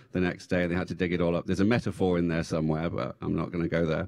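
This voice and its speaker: With an English accent, a man speaks in a very deep, low pitch and a flat, monotone delivery against a quiet background. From England. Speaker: former tech executive and government official. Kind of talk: panel discussion. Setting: stage with audience.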